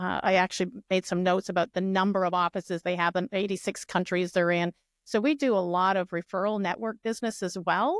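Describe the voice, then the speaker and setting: Here is an ordinary speaking voice at a fairly quick pace, with hardly any pauses and ordinary pitch variation. The sound is dry and close with no echo, in a very clean recording with a silent background. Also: woman, medium pitch for a woman. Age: 60s. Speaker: real estate agent. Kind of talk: podcast interview.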